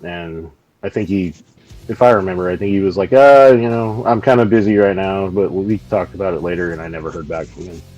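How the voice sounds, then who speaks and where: A man with an American accent talks at a fairly quick pace in a very deep, low pitch, with ordinary pitch variation. Music plays in the background, and his loudness swings widely. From US, Montana. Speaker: metal musician. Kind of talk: interview. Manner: hesitant, many fillers.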